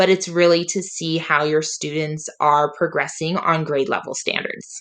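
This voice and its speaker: Against a quiet background, a woman speaks with a bright, sharp tone. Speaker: teacher. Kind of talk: tutorial.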